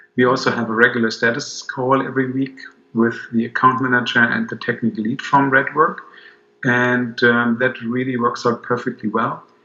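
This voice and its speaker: A man speaks with a German accent at a moderate pace. His intonation is flat and monotone, and background noise is noticeable. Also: medium pitch for a man. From Germany. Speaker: business owner, client. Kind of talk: video testimonial. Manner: halting, many fillers.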